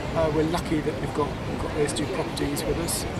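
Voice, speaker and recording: Loud background noise runs behind the speech. A man talks at a fairly quick pace. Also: dry sound with no echo. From England. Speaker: animation studio co-founder and producer. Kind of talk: interview. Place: garden.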